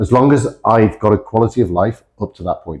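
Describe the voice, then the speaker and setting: The speaker has a British accent. The delivery has lively intonation at a moderate pace. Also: man. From Britain. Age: 40s. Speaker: fitness coach. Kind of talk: casual chat.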